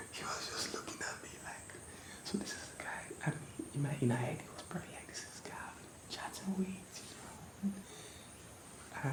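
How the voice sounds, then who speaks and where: A man whispers at a fairly quick pace, with long, frequent pauses and big swings in loudness. Noticeable background noise runs underneath. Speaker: ASMR creator. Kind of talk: ASMR whispered personal storytime.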